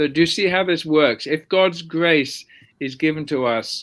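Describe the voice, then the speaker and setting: The speaker has a southern English accent and lively intonation. The recording is very clean, with a silent background. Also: man. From London, England. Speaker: theology professor. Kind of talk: interview.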